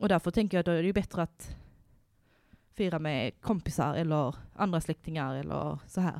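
A woman with vocal fry talks at a moderate pace in a very clean recording with a silent background. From Värmland, Sweden. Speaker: podcast host. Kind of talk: casual chat.

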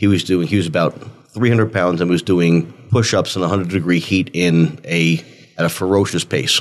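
Fairly even intonation with an American accent, very even loudness, and a moderate pace. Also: man, very deep, low pitch for a man. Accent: New Jersey accent, stronger after drinks. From North Jersey, near New York City. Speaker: former detective turned real estate agent. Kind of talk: casual storytelling chat.

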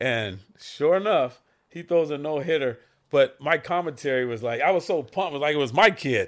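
A plain, everyday voice from a man with an American accent, fairly high in pitch, with lively intonation at a moderate pace, on a very clean recording with a silent background. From Santa Monica, California. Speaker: stunt actor and storyteller. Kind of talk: casual chat.

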